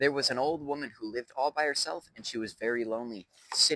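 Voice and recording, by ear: A passage is read aloud in a natural voice, the pitch moving in an ordinary way.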